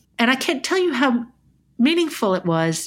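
In a very clean recording with a silent background, a woman with an American accent speaks at a high pitch with very wide pitch swings. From mixed: US-born, childhood in Sydney and Toronto. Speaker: novelist. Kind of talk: interview conversation. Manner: halting, many repetitions.

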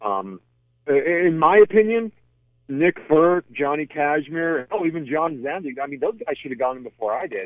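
A man with an unremarkable speaking voice and fairly high pitch. He talks at a moderate pace with lively intonation. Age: 30s. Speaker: retired pro wrestler. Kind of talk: interview.

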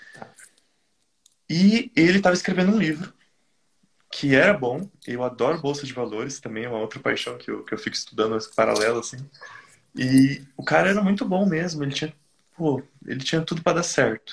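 A man's fairly high, somewhat breathy voice, fairly quick in pace, with lively intonation and long, frequent pauses. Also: big swings in loudness. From Brazil. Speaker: caller seeking business advice. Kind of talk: advice call.

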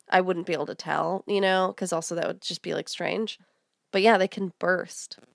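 Someone with an American accent speaks at a moderate pace in a monotone, flat intonation. The sound is dry and close, without echo. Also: woman, medium pitch for a woman, very clean recording, silent background. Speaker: podcast host. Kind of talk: casual chat.

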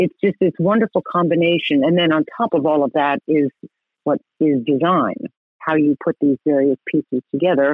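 The speaker has an American accent and a normal speaking voice. Pitch varies in an ordinary way. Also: woman. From New York City. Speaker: landscape architect. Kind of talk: interview.

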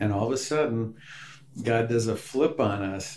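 In a room with audible echo, a man at medium pitch talks with fairly even intonation in an American accent. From rural Wisconsin, US Midwest. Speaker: pastor and church planter. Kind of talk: interview.

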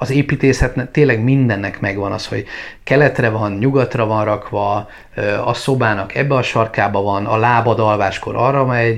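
Medium pitch marks this man's unremarkable speaking voice. He keeps a moderate pace with fairly even intonation. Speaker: travel vlogger. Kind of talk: casual chat. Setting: at home.

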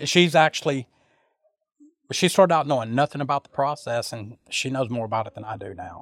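Speaking with a Louisiana accent, a man at a medium pitch talks at a fairly quick pace with lively intonation. The recording is very clean, with a silent background and a dry, close sound with no echo. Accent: Southern US (Louisiana). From US South, Louisiana (Sulphur). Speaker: truck driver. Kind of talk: interview.

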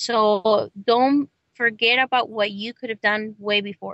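Her voice fairly high, a woman speaks in a Spanish accent with monotone, flat intonation. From Mexico, Guanajuato. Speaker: immigrant rights activist. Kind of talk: interview.

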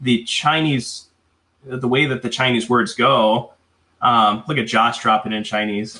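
Speaking with an American accent at a fairly slow pace, a man has a normal speaking voice with a medium pitch and fairly even intonation. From US Midwest, Wisconsin (north side of Milwaukee). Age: 40s. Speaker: sales executive. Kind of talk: casual interview.

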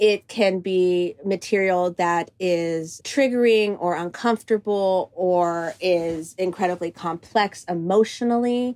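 With hardly any pauses, a woman speaks in a normal speaking voice at a medium pitch with ordinary pitch variation, on a very clean recording with a silent background. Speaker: choreographer and director. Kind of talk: interview conversation.

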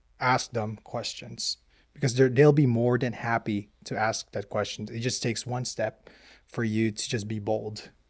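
Speaking at a fairly slow pace in a Filipino accent, a man with a medium-pitched voice keeps a monotone, flat intonation on a very clean recording with a silent background. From Philippines. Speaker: Marine veteran. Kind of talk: casual chat.

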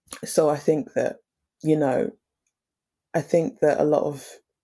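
The voice has a dark, mellow tone and vocal fry, moving at a fairly slow pace. The recording is very clean, with a silent background. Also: woman. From Essex, England. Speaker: makeup artist. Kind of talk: casual interview.

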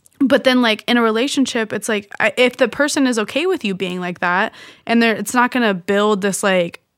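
A woman with an ordinary speaking voice, fairly high in pitch, lively in intonation, and at a fairly quick pace. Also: hardly any pauses. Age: 20s. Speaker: friend of the host, student. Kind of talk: casual chat.

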